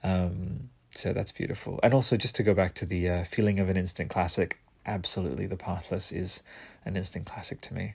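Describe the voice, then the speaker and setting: In a very clean recording with a silent background, a man speaks at a fairly quick pace in an animated tone. His very deep, low voice is somewhat breathy. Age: 30s. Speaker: solo podcast host reviewing video games. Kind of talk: solo monologue game review. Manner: animated, frequent fillers and restarts.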